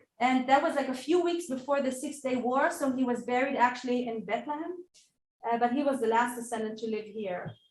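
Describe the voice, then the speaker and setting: Her voice sits high in pitch. Audible room echo surrounds this woman. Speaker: author and conference speaker. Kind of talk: conference Q&A. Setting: conference hall with audience and Zoom. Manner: halting, many fillers.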